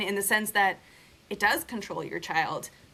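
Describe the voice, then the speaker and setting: A woman's bright, sharp tone carries ordinary pitch variation as she talks. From Russia, moved to the US at five. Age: 30s. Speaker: podcast host, mother. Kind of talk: casual chat.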